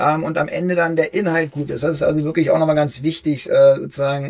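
A somewhat breathy man with a fairly high pitch, fairly even intonation and a moderate pace. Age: 40s. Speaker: cardiologist and health video creator. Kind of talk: interview.

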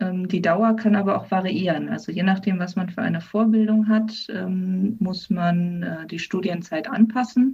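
A woman at a medium pitch, moderate pace and fairly even intonation. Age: 20s. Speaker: physician assistant. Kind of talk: interview. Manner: hesitant, many fillers.

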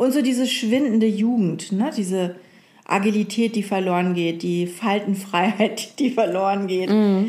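Somewhat breathy and dark, mellow in tone, a woman talks at a fairly slow pace with ordinary pitch variation and very even loudness. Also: medium pitch for a woman. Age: 40s. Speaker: podcast co-host. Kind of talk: casual chat.

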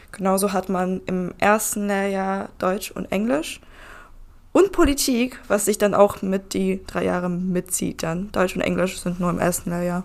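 A woman's plain voice, a normal speaking voice, at a medium pitch and fairly slow pace with fairly even intonation, on a very clean recording with a silent background. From Lower Saxony, Germany (Nienburg). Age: 20s. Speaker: trainee tax clerk. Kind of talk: casual group chat. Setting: conference room.

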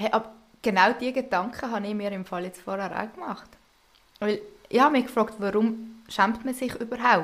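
A woman speaks at a moderate pace with fairly even intonation and a fairly high pitch. Her loudness swings a lot, in a plain, everyday voice. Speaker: co-host, host's older sister. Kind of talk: casual chat.

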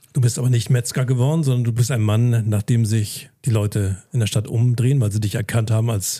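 A man's medium-pitched voice, dark and mellow, somewhat breathy, at a moderate pace with fairly even intonation. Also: hardly any pauses, very even loudness. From northern Germany, Lauenburg an der Elbe. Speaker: podcast host. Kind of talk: casual interview; podcast promo. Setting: hotel in Hamburg.

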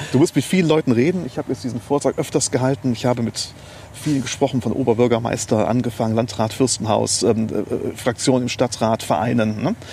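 Noticeable background noise behind a man at medium pitch, talking at a very fast pace with ordinary pitch variation. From Germany, Neuwied (Rhineland). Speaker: lawyer. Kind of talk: interview. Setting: outdoors in a park.

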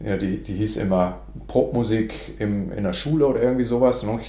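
Speaking at a moderate pace, a man with a fairly low pitch and vocal fry has a dark, mellow tone, ordinary pitch variation and audible room echo around him. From northern Germany. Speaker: music education professor. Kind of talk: interview. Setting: office. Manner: halting.

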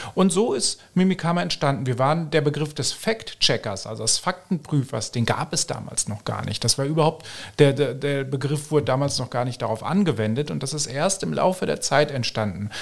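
A somewhat breathy man's voice, fairly high for a man, with lively intonation and hardly any pauses. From Germany. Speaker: fact-checker, press spokesman. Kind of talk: podcast interview.

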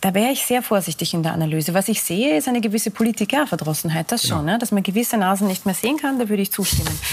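Over noticeable background noise, a woman talks at a very fast pace with hardly any pauses, using lively intonation at a medium pitch and very even loudness. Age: 40s. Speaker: think tank director. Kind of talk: TV panel discussion. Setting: TV studio.

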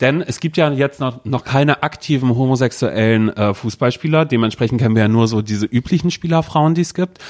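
Delivery is very fast with ordinary pitch variation. The sound is dry and close, with no echo. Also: man, medium pitch for a man. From Mecklenburg-Vorpommern, rural village (born in North Rhine-Westphalia). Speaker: podcast co-host. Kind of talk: casual chat.

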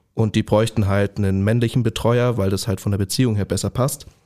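Speaking at a fairly quick pace, a man has a dark, mellow tone and fairly even intonation. The recording is very clean, with a silent background. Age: 20s. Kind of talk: podcast interview.

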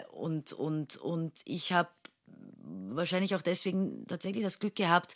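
Recorded very cleanly against a silent background, a woman with fairly low pitch speaks in a dry, close sound with no echo. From Turkey, Istanbul. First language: Turkish (speaking German). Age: 30s. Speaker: stage actress. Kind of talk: casual interview.

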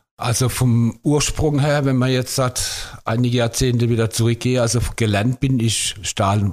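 A man in a normal speaking voice talks at a medium pitch and a moderate pace with fairly even intonation. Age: 50s. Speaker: bus driver. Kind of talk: casual interview.

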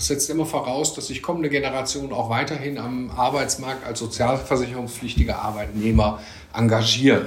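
A man speaks at medium pitch and a moderate pace. His pitch varies in an ordinary way, with audible room echo. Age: 50s. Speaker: economist. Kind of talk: interview.

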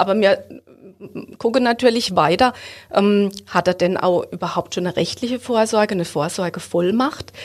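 At a moderate pace, a woman speaks in an ordinary speaking voice at a medium pitch with ordinary pitch variation. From Baden, Ortenau (Hofweier). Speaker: bank advisor. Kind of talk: podcast interview.

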